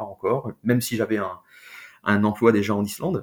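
Fairly low-pitched and fairly slow, this man has a plain, everyday voice. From France. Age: 40s. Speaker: expat father. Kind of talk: interview testimony.

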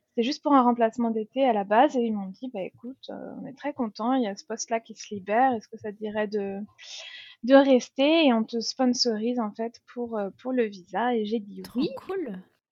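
A woman with an unremarkable speaking voice, fairly high pitch, ordinary pitch variation, big swings in loudness and a moderate pace. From France. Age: 30s. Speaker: expat mother. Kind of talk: interview testimony.

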